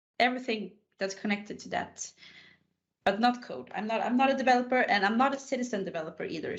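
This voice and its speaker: A woman talks at a fairly quick pace with a Swedish accent. Her pitch varies in an ordinary way. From Sweden, Stockholm. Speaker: IT consultant. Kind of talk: casual interview chat.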